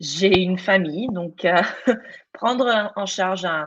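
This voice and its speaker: Ordinary pitch variation in a woman's voice with a non-native accent. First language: not French (speaking French). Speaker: teacher and student in teacher training. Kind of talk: testimony in live panel. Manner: halting, many repetitions and fillers.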